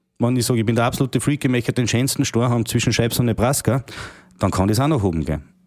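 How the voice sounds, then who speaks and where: A man speaks in a dark, mellow tone. The sound is dry and close with no echo. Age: young. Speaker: managing director of a kitchen company. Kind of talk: casual interview. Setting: company kitchen showroom.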